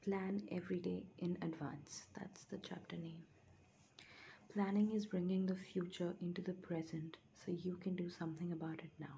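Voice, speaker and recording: Soft-spoken, a woman talks at a moderate pace and a fairly low pitch. Her intonation is fairly even. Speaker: ASMR creator. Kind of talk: ASMR book reading, soft-spoken summary read from a book chapter.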